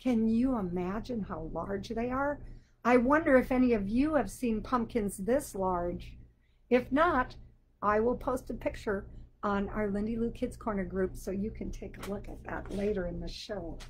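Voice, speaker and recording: A woman with an American accent speaks at a moderate pace and a fairly high pitch, with ordinary pitch variation. Her voice is somewhat breathy and swings widely in loudness. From Wisconsin (Sheboygan). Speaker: children's book author. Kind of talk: children's show on video call.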